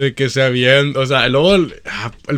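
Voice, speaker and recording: A man's unremarkable speaking voice at a medium pitch, with fairly even intonation and a fairly slow pace. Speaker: podcast co-host. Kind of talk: casual chat.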